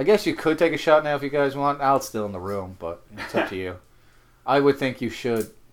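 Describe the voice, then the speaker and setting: With an Irish accent, a man speaks at a fairly quick pace and a fairly high pitch. His intonation is lively, and his loudness swings widely. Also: very clean recording, silent background. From Ireland. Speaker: film podcast co-host. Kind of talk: film commentary chat.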